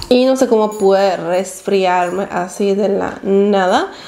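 A woman with a dark, mellow tone speaks at medium pitch, her intonation fairly even and marked by vocal fry. Faint background noise sits behind her.

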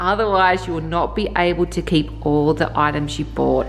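A woman talks at a moderate pace while faint music sounds in the background. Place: home room. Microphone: phone near.

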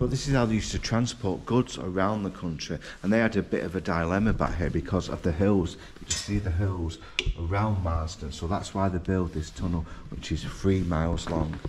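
Noticeable background noise sits under the audio. A man speaks over it with ordinary pitch variation. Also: fairly quick pace. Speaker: travel vlogger. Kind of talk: casual vlog chat. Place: hall. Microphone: phone near.

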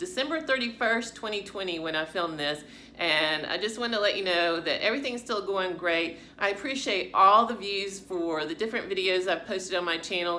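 Light background noise sits behind a woman speaking at a moderate pace. Her intonation is lively. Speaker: fitness channel vlogger. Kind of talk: casual vlog chat. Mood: warm, grateful. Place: home room. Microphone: phone near.

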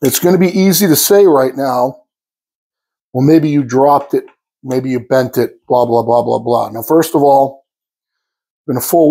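A man with a dark, mellow tone talks at a moderate pace over a quiet background. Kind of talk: tutorial. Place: workshop. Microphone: lapel.

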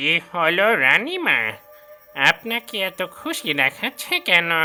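Faint music plays in the background as a cartoonish character voice at a middle pitch talks at a very slow pace. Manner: flattering, eager.

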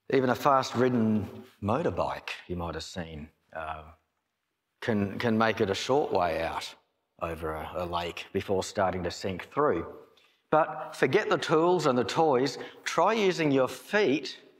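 Over a quiet background, a man speaks at a fairly slow pace with vocal fry. His pitch swings very widely. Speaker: pastor. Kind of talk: sermon. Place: church. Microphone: podium.

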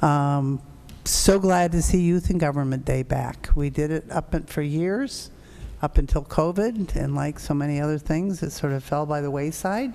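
Very deep, low pitch from a woman, with ordinary pitch variation. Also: moderate pace. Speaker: city mayor chairing council meeting. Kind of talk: formal council meeting. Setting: council chamber, meeting. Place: hall. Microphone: podium.

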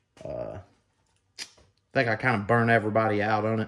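Fairly quick delivery from a man with a fairly low pitch, against a quiet background. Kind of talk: casual vlog chat. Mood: relaxed, joking. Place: garage. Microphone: camera far.

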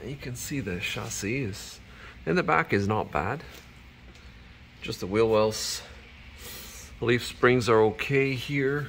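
Long, frequent pauses mark a very slow delivery over light background noise. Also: man. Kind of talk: inspection commentary. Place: garage. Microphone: phone near.

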